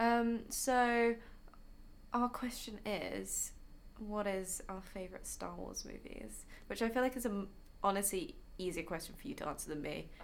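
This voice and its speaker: Someone with a southern English accent speaks at a moderate pace with ordinary pitch variation and long, frequent pauses, and audible room echo is present. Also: woman, medium pitch for a woman. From southern England, Hampshire. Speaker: podcast co-host. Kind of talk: casual chat. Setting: studio.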